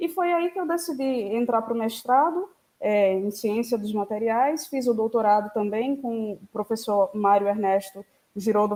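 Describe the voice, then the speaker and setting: At a fairly slow pace, a woman speaks with a fairly high pitch and a dark, mellow tone. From Brazil, Sergipe (Itabaiana). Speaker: physicist, researcher. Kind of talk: lecture.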